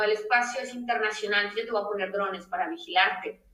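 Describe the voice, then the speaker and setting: Amid audible room echo, a woman speaks with very wide pitch swings. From Mexico. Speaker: space lawyer. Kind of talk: interview. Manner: animated.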